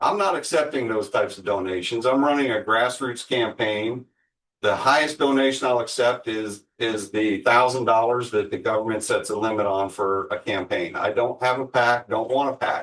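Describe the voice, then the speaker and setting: A man with an American accent speaks at a moderate pace in a plain, everyday voice with ordinary pitch variation over a quiet background. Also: medium pitch for a man. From Florida, St. Petersburg. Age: 60s. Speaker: mayoral candidate. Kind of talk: interview. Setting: studio.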